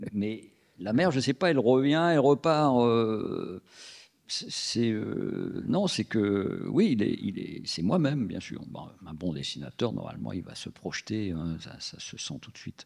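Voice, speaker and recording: Very slow speech with very wide pitch swings and big swings in loudness plays over a quiet background. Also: man, medium pitch for a man. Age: 60s. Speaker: comic book author. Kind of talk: interview at public author talk. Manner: halting, many restarts.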